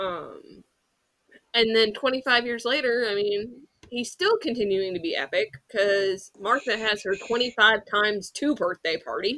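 A woman talks fairly slowly with a plain, everyday voice. Her pitch is fairly high, with ordinary variation. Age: 30s. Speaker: podcast host. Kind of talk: casual chat.

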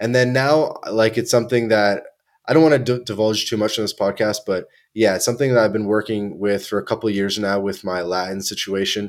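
Speaking with a Canadian accent in a normal speaking voice, a man with a fairly low pitch keeps a fairly quick pace and fairly even intonation in a very clean recording with a silent background. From Canada, Toronto. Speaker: podcast host. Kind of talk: casual chat.

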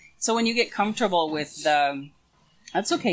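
With an American accent, a woman talks at a fairly quick pace and a fairly low pitch, her intonation lively. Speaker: pastor and conference founder. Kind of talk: casual interview chat. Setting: video interview. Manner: animated, loud talker.

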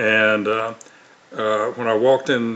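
This man speaks with a Southern US accent at a medium pitch. His intonation is monotone and flat. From US South, Mississippi (Tupelo). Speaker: author and former narcotics officer. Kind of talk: testimony. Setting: remote video call. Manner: frequent fillers and repetitions.

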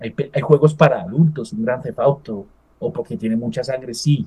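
The voice is somewhat breathy with a dark, mellow tone, lively intonation and a moderate pace. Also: man. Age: 40s. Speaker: esports event organizer. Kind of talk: interview.

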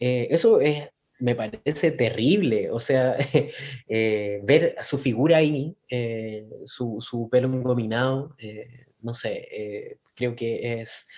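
Speaking at a very slow pace with long, frequent pauses, a man with a Chilean accent uses a medium-pitched voice and ordinary pitch variation. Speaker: podcast co-host. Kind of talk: casual chat. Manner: halting.

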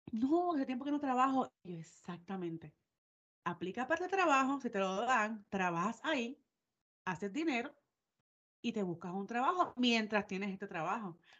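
Pitched fairly high, a woman's voice swings very widely up and down. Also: moderate pace. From Puerto Rico. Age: 30s. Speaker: podcast co-host. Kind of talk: casual chat.

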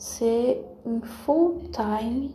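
A woman is speaking with audible room echo. Noticeable background noise is also present. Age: 20s. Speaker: podcaster. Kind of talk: casual monologue. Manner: halting.

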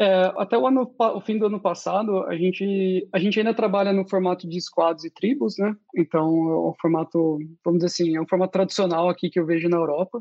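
A man at a high pitch for a man, fairly quick, with hardly any pauses and ordinary pitch variation. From Brazil. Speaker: UX designer. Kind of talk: casual interview.

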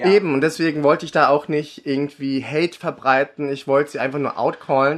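Against a quiet background, a man with a plain, everyday voice and a fairly high pitch talks with fairly even intonation and hardly any pauses. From Germany, raised from age five, born in the Philippines. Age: 30s. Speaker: drag artist. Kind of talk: casual chat.

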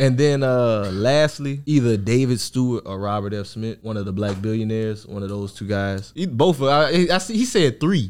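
A man with an American accent speaks at a moderate pace with hardly any pauses. His intonation is lively and his pitch is medium. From Louisiana, Opelousas. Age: 20s. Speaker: entrepreneur, rental car business owner. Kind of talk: casual podcast interview. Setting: in-person studio.

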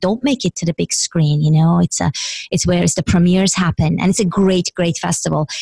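This speaker talks very fast. There's a somewhat breathy quality to the delivery. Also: woman, dry, close sound with no echo. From Iran. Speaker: business coach. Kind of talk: interview.

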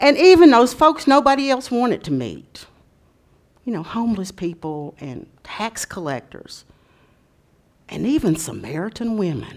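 At a fairly slow pace, a woman with a fairly high pitch speaks in an animated, warm tone, her pitch swinging very widely and her loudness swinging a lot, with long, frequent pauses. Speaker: preacher. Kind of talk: sermon with storytelling, read-aloud storybook style. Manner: animated storyteller, warm and expressive; conversational, folksy.

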